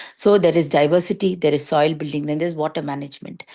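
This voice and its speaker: Ordinary pitch variation with a Tamil accent. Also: woman. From India, Chennai. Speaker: organic farmer. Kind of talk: talk to students. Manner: halting, with fillers.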